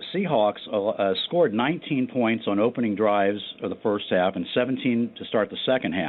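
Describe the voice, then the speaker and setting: At a moderate pace, a man talks with medium pitch and a normal speaking voice. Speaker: NFL statistician. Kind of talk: radio sports talk show. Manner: measured, stat-heavy.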